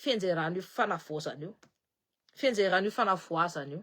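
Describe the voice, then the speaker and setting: A woman's bright, sharp and animated tone at a moderate pace. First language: Malagasy (speaking French). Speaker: political commentator. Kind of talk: political commentary live stream.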